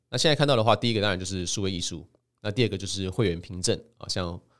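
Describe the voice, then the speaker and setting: In a very clean recording with a silent background, a man speaks in an unremarkable speaking voice, fairly low in pitch with ordinary pitch variation. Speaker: podcast host and crypto author. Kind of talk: solo podcast monologue presenting his book. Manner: casual, frequent filler particles.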